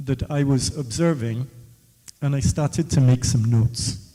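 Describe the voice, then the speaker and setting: This man has a fairly high pitch, a dark, mellow tone, a somewhat breathy quality, and ordinary pitch variation. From West Africa. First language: West African Creole. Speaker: author in the audience. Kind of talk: audience question-and-answer talk. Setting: book launch event with audience.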